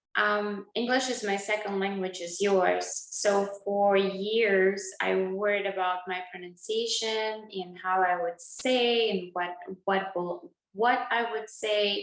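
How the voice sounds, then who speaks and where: Music plays behind a woman speaking at a very slow pace in a medium pitch. Her intonation is fairly even, and there is audible room echo. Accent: Russian. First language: Russian. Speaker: dentist and channel host. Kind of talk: interview conversation.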